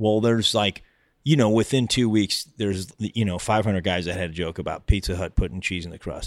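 With an American accent, a man with a fairly low pitch and an unremarkable speaking voice talks at a fairly quick pace with ordinary pitch variation in a very clean recording with a silent background. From US suburbs. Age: 50s. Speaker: comedian. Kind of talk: casual chat.

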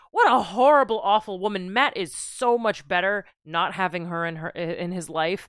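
The voice is an unremarkable speaking voice with lively intonation, moving at a moderate pace with hardly any pauses. The recording is very clean, with a silent background. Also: woman, medium pitch for a woman. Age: 30s. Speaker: podcast co-host, lawyer. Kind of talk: casual chat.

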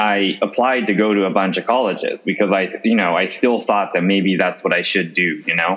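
A plain, everyday voice with very even loudness, fairly even intonation and hardly any pauses. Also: man, fairly low pitch for a man. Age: 30s. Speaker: retail company CEO. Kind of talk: interview.

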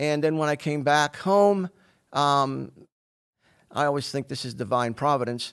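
In a very clean recording with a silent background, a man with a fairly high pitch talks at a fairly slow pace with ordinary pitch variation and long, frequent pauses. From Pittsburgh, Pennsylvania. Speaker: fitness coach. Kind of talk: interview conversation.

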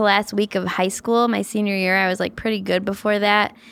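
A normal speaking voice. It moves at a fairly quick pace. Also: woman. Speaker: comedy writer. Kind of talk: casual interview chat.

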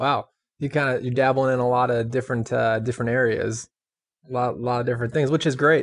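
A man speaks at a very fast pace. His medium-pitched voice has monotone, flat intonation. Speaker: podcast host. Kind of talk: interview, scripted intro.

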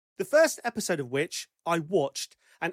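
The speaker has an English accent. The recording is very clean, with a silent background. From England. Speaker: podcast host. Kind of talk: casual chat.

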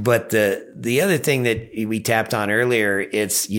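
A man speaks at a moderate pace with a fairly low pitch and ordinary pitch variation. Vocal fry runs through his voice. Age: 60s. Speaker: river guide and boat outfitter. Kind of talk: casual interview.

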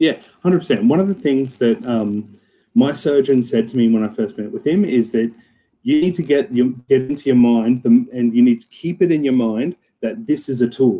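A man with an Australian accent speaks at a moderate pace and medium pitch, his dark, mellow tone carried by lively intonation. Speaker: club co-captain. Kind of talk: casual chat.

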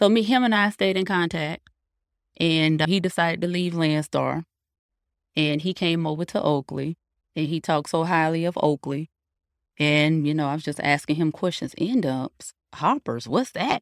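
A woman with an American accent, fairly low pitch, a normal speaking voice, ordinary pitch variation and a moderate pace, on a very clean recording with a silent background. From North Carolina. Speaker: truck driver, owner-operator. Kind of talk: casual interview.

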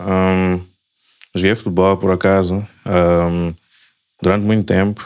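A man's very deep, low voice, monotone and flat, with very even loudness, a fairly slow pace and long, frequent pauses. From Mozambique (Maputo). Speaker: software engineer. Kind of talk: casual interview chat.

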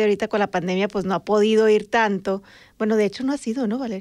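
A woman with a northern Mexican accent and a fairly high pitch, against a quiet background. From Sonora, Mexico (Magdalena, near Nogales border). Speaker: podcast co-host and journalist. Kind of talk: casual chat. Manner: animated.

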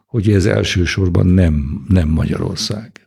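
A man speaks very slowly in a very deep, low voice with a dark, mellow tone. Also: very clean recording, silent background. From Hungary. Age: 70s. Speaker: economist and Oxford professor. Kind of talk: interview. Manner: halting.

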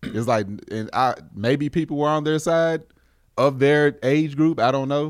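On a very clean recording with a silent background, a man with an unremarkable speaking voice talks at a fairly slow pace and a fairly high pitch, with ordinary pitch variation. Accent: American. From US. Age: 40s. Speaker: podcast host. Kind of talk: casual chat.

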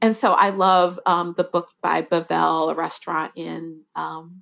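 A woman speaks at a fairly slow pace with vocal fry and a fairly low pitch, in a very clean recording against a silent background. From US Midwest, Detroit, Michigan. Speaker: newspaper food editor. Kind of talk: interview.

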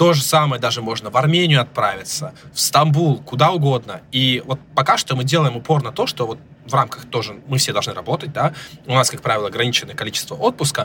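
Noticeable background noise sits behind a man speaking at a very fast pace. His pitch is fairly high, with ordinary variation. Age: 30s. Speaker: startup founder. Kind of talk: interview. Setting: remote recording.

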